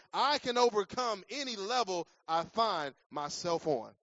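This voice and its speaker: A man with an American accent, lively intonation and an animated tone. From Cleveland, Ohio. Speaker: guest preacher and sports chaplain. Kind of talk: sermon. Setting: church with live audience. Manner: animated, rising preacher's cadence, call-and-response, shouted emphasis.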